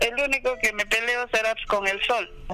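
The voice is raised and projected. It moves at a fairly slow pace. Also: man. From Peru, Apurímac. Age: 50s. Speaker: farmer. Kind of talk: interview.

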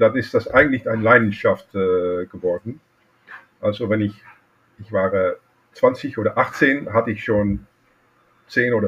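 A man with a Dutch accent speaks at a fairly slow pace, with long, frequent pauses. His pitch is medium, with ordinary variation. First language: Dutch (speaking German). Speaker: watchmaker and collector. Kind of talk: interview. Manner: halting.

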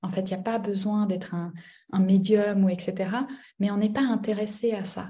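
With audible room echo, a woman talks at a moderate pace in a medium pitch, her tone dark, mellow and somewhat breathy, her intonation monotone and flat. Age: 30s. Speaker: business coach. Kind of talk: casual chat.

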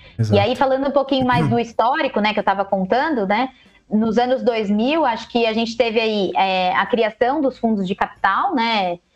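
A woman speaks at a fairly high pitch. Her pitch moves in an ordinary way. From Brazil, Jundiaí (São Paulo state). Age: 30s. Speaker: innovation professional. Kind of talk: casual chat. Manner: energetic.

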